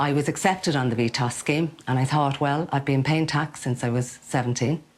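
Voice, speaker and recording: Speaking with a Dublin accent, a woman has a very deep, low voice for a woman. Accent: Dublin Irish. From Ireland, Dublin (Ballyfermot). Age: 50s. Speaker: cat sitter, business owner. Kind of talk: interview.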